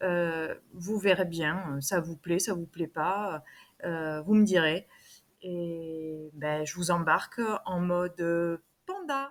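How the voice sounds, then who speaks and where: Her pitch varies in an ordinary way. The woman speaks at a very slow pace. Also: fairly low pitch for a woman. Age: 40s. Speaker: beauty vlogger. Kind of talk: casual makeup tutorial vlog. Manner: hesitant, many fillers.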